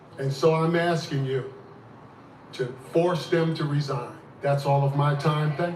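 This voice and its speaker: With an American accent and a fairly high pitch, a man talks at a fairly slow pace in a monotone, flat intonation, leaving long, frequent pauses amid noticeable background noise and audible room echo. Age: 70s. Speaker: community activist. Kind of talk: public comment speech. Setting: city council meeting. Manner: impassioned.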